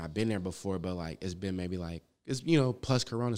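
A normal speaking voice from a man with an American accent, lively intonation, and a fairly quick pace. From Los Angeles, South Central (Manchester area). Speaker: rapper. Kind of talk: casual interview chat.

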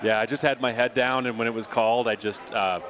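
A man with an American accent, medium in pitch and fairly quick in pace, over noticeable background noise. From Colorado. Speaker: brewery representative. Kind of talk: casual chat. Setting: studio.

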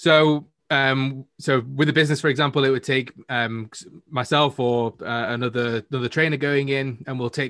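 A man with a Manchester accent and fairly even intonation. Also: dry, close sound with no echo. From Manchester, northern England. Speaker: entrepreneur guest. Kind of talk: casual interview.

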